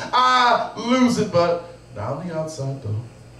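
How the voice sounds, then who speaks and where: Over noticeable background noise, a man's voice makes very wide pitch swings. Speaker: slam poet. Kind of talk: live slam poetry performance. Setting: live venue.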